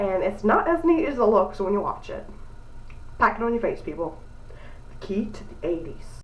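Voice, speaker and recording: Noticeable background noise and audible room echo surround a woman whose pitch swings very widely as she speaks at a moderate pace. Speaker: beauty vlogger. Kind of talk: tutorial. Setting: bathroom. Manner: casual.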